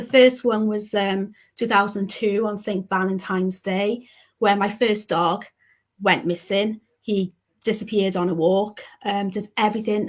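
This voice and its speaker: Speaking with a Welsh accent, a woman uses a medium pitch and fairly even intonation at a fairly slow pace. The recording is very clean, with a silent background. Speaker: pet bereavement counsellor. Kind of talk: interview, personal story.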